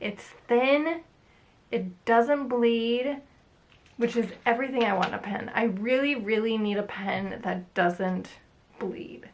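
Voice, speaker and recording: A woman with a fairly high pitch speaks at a very slow pace, with long, frequent pauses and ordinary pitch variation. Background noise is noticeable. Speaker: artist. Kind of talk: casual talk to camera about art supplies. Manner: casual, chatty.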